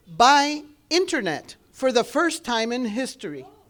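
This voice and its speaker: A high-pitched woman's voice with a non-native accent and lively intonation, on a very clean recording with a silent background. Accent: foreign accent in English. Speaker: government outreach specialist. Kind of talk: public speech.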